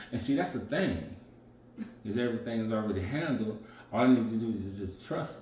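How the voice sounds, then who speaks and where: With an American accent and a medium pitch, a man talks at a fairly quick pace with ordinary pitch variation and long, frequent pauses, amid audible room echo and noticeable background noise. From rural US. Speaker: chef, dating partner. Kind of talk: casual chat.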